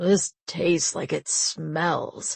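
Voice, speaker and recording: A put-on character voice comes out gravelly and growling. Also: woman. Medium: read story.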